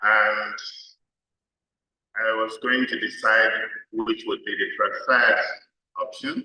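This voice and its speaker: The man's speech is very slow. He stops often and for long stretches. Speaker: development expert, conference speaker. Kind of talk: conference speech.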